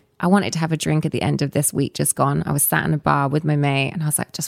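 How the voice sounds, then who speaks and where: A woman with a Southern English accent talks at a very fast pace in a very deep, low pitch, her fairly even intonation edged with vocal fry in a dry, close sound with no echo. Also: hardly any pauses. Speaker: storytelling company founder. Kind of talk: casual interview chat.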